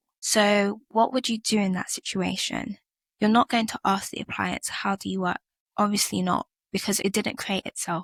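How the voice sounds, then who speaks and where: A woman with a British accent speaks at a moderate pace and with fairly even intonation. The recording is very clean with a silent background, and the sound is dry and close with no echo. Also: medium pitch for a woman. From UK. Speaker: podcast host. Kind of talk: personal reflective podcast monologue.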